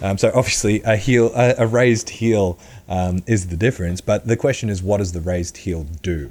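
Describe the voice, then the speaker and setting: Using a fairly low pitch and ordinary pitch variation, a man with an Australian accent talks at a moderate pace. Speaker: powerlifting coach. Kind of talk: podcast monologue.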